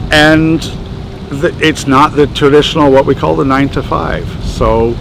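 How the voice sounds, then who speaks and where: Noticeable background noise sits behind the speaker. The delivery keeps a moderate pace and fairly even intonation. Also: man, fairly high pitch for a man. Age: 60s. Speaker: tradesman, construction contractor. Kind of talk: casual interview. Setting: on location in a building in Old Montreal.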